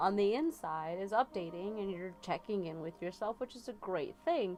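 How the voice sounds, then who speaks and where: Over music in the background, a woman with a medium pitch talks at a moderate pace with lively intonation. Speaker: tarot reader livestreamer. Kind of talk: live tarot reading with chat. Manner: casual, filler-heavy.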